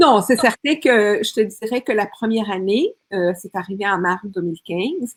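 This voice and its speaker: A woman with a fairly high pitch and lively intonation talks at a fairly slow pace with hardly any pauses, in a dry, close sound with no echo. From Colombia. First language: Spanish (speaking French). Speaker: speaker and women's coach. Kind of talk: interview testimony.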